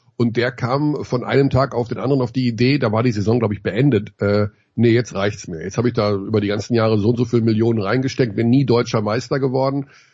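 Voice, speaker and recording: At a very fast pace, a man speaks in a somewhat breathy voice with fairly even intonation. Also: medium pitch for a man. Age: 50s. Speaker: basketball commentator. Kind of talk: casual chat.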